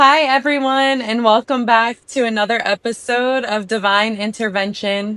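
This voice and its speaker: This woman has an unremarkable speaking voice with a fairly high pitch. She talks at a moderate pace with fairly even intonation. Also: dry, close sound with no echo. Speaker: podcast host. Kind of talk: podcast interview questions.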